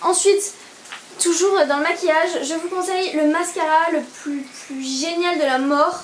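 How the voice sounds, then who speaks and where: A woman speaks with an extremely high pitch and fairly even intonation. There is audible room echo and noticeable background noise. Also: fairly slow pace. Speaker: beauty vlogger. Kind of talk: product review vlog. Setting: indoors, home video. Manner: hesitant, many fillers.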